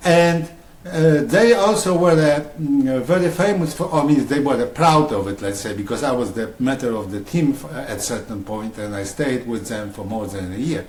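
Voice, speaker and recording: With a Polish accent, a man speaks at a moderate pace and fairly high pitch, his voice making very wide pitch swings with hardly any pauses, amid noticeable background noise and audible room echo. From Poland. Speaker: writer. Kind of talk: interview. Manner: halting.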